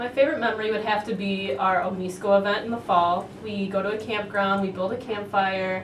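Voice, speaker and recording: Over audible room echo, a woman talks at a fairly quick pace with a medium pitch. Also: fairly even intonation, hardly any pauses. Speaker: university student. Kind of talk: interview.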